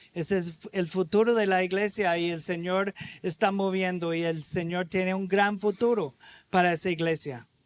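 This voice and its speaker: The speaker has an American accent and talks at a moderate pace. Intonation stays fairly even. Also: man, high pitch for a man. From United States. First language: English (speaking Spanish). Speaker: visiting preacher. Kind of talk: sermon.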